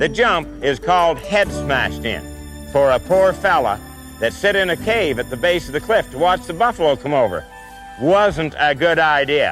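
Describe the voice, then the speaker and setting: Music in the background behind a man's moderate-paced speech. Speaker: documentary narrator. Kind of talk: documentary presenter speaking on location. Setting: outdoors. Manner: folksy, casual.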